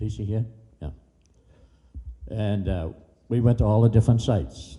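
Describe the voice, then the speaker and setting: This man has a dark, mellow tone with vocal fry and a fairly low pitch, talking at a moderate pace amid audible room echo. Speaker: public commenter. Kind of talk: public comment at city council meeting. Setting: public meeting hall. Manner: halting.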